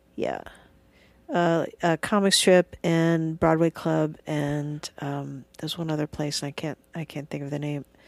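Soft-spoken, a woman talks at a fairly slow pace with a very deep, low pitch and monotone, flat intonation. The recording is very clean, with a silent background and a dry, close sound with no echo. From US South (Alabama and Georgia). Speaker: comedian. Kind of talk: casual chat. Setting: studio. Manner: quiet, not loud.

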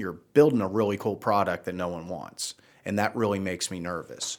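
In a very clean recording with a silent background, a man with an American accent talks at a moderate pace in a fairly low voice. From Baltimore, US Mid-Atlantic. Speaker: software entrepreneur and investor. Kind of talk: interview. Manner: hesitant, filler-heavy.

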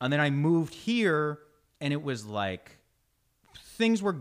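A man speaks loudly and fairly slowly, his fairly high pitch swinging very widely. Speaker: comedian and actor. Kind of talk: casual interview chat.

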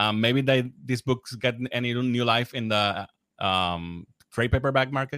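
A man's bright, sharp voice at medium pitch with a Spanish accent, fairly slow pace, ordinary pitch variation and a dry, close sound with no echo. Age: 40s. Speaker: podcast host. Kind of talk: casual interview. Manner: halting.

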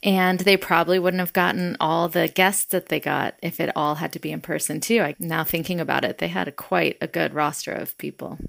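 A woman talks at a fairly quick pace with hardly any pauses, her fairly low voice carrying vocal fry. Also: fairly even intonation. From US South, Atlanta. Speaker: nonprofit CEO and activist. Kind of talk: interview conversation.

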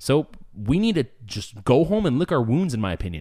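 The recording is very clean, with a silent background. A man with a Californian accent speaks at a medium pitch with very wide pitch swings and vocal fry. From Southern California, San Diego area. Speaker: podcast host. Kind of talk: casual chat. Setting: home studio with echo.

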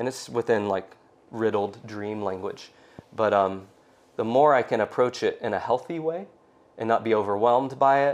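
A man with an American accent speaks at medium pitch and a moderate pace. His is an unremarkable speaking voice with ordinary pitch variation. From US South, Georgia (suburbs of Atlanta). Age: 40s. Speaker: tattoo artist and visionary painter. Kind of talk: casual interview chat. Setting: at his home.

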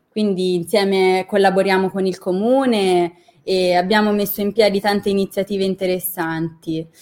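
A woman at medium pitch, monotone and flat in intonation, at a moderate pace. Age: 20s. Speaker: university student and intern. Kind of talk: interview conversation.

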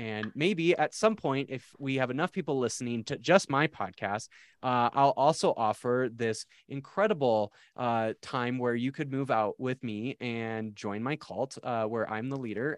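Here, a man with an American accent speaks at a moderate pace in an ordinary speaking voice, medium in pitch with ordinary pitch variation. The background is quiet, and the sound is dry and close with no echo. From South Dakota, US Midwest. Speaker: theology podcast host, seminary worker. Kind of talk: casual interview chat.

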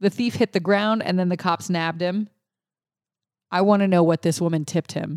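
With an American accent, a woman speaks in an animated tone at a fairly low pitch and fairly quick pace, with long, frequent pauses, in a very clean recording with a silent background and a dry, close sound with no echo. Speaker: podcast co-host and voice-over artist. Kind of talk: casual chat.

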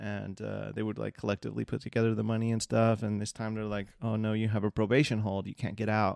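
Speaking very fast with an American accent, a man has a fairly low pitch and monotone, flat intonation. The sound is dry and close with no echo. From Southern California (Seal Beach / Long Beach). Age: 30s. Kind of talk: personal testimony monologue. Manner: casual with many fillers.

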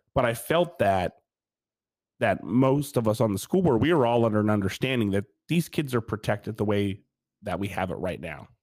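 Here is a man with an ordinary speaking voice and an American accent, pitched fairly low with lively intonation. He speaks at a fairly quick pace on a very clean recording with a silent background. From Pennsylvania. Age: 40s. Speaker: school board member and former teacher, Air Force veteran. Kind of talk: casual interview.

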